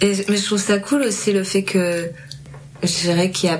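A woman at a fairly slow pace with fairly even intonation, audible room echo and music in the background. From Cergy, Paris region, France. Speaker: podcast host. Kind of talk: casual chat.

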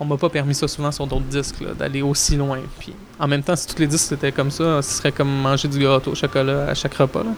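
Over noticeable background noise, a man talks very fast in a monotone, flat delivery at a fairly high pitch. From Quebec, Montreal. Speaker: record producer and musician. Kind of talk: interview.

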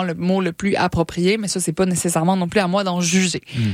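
In monotone, flat intonation, a woman talks at a fairly quick pace. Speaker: science popularization radio co-host. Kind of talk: casual science chat on radio.

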